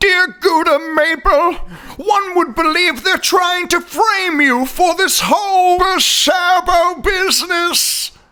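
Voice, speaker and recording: A cartoonish character voice from a man, extremely high-pitched, at a fairly slow pace. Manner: brusque, cocky.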